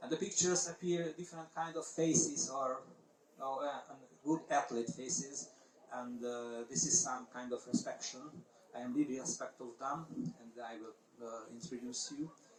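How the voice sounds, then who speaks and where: A man with a Hungarian accent, fairly high in pitch, with ordinary pitch variation, big swings in loudness and a moderate pace, against noticeable background noise. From Hungary. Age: 50s. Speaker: paragliding competition pilot and organizer. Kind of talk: presentation talk. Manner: halting.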